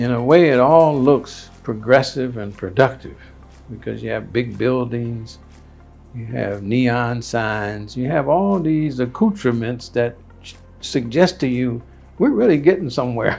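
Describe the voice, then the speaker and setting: A man's lively intonation and fairly slow pace play out with music in the background. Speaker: educator and Akan chief. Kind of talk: interview answer.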